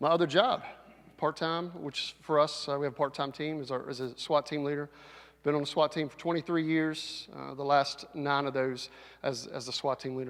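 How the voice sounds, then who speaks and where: A man at a fairly quick pace and fairly high pitch, with fairly even intonation, on a very clean recording with a silent background. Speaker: sheriff's deputy captain, school safety and SWAT leader. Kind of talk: safety presentation to school audience.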